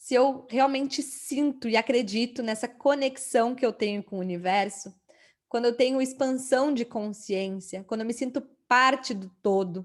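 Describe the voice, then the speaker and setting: A woman's high pitch at a moderate pace, with ordinary pitch variation, on a very clean recording with a silent background. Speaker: holistic therapist and course teacher. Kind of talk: lecture.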